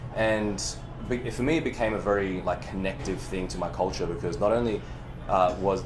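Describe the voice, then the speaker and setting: A man's fairly low voice with very wide pitch swings at a moderate pace, with audible room echo and noticeable background noise. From Chinese background, raised in the West. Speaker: movement coach. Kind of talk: casual chat. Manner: animated.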